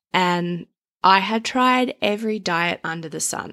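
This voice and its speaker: On a very clean recording with a silent background, a woman with an Australian accent speaks in a bright, sharp tone at a fairly low pitch. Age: 30s. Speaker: podcast host. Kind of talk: personal monologue. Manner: casual.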